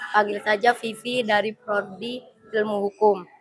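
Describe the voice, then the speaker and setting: A woman talks at a moderate pace, her fairly high voice monotone and flat. Noticeable background noise runs underneath. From Lampung, Indonesia. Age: 20s. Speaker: university student. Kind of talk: self-introduction at student meetup. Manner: loud.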